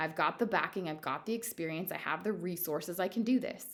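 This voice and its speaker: A woman speaks at a moderate pace with a fairly low pitch. Her pitch variation is ordinary. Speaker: manifestation coach, YouTuber. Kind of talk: casual monologue to camera. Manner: halting, many fillers; mumbling.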